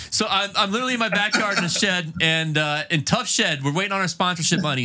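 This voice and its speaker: Through noticeable background noise, a high-pitched man talks at a very fast pace with lively intonation. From North Carolina. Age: 40s. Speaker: podcast host. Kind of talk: casual chat. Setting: home shed studio.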